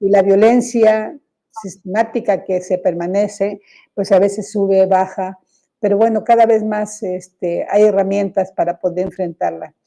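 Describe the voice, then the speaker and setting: A woman speaks at a medium pitch in a dark, mellow tone. Her intonation is monotone and flat. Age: 70s. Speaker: journalist and gender activist. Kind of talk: radio interview. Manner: hesitant, many fillers.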